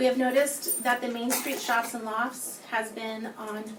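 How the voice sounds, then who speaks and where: Speaking at a moderate pace, this woman has a fairly high pitch. Noticeable background noise and audible room echo come through. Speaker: hotel general manager speaking at public comment. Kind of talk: reading a prepared statement aloud. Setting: city council meeting.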